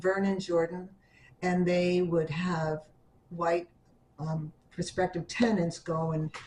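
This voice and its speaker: Speaking very slowly with long, frequent pauses, a woman with an American accent uses a fairly low pitch, flat, monotone intonation and a somewhat breathy voice. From New York City, the Bronx. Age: 70s. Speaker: oral history interviewee. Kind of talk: oral history interview. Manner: halting.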